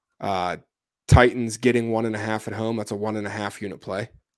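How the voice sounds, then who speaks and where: A man talks at a fairly quick pace in a fairly low pitch. His intonation is monotone and flat, in a very clean recording with a silent background. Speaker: sports betting podcast host. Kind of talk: casual chat.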